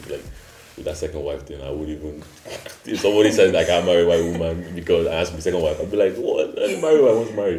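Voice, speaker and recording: A man at a very fast pace, with big swings in loudness, audible room echo and noticeable background noise. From Nigeria. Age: 20s. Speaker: student. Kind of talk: casual discussion.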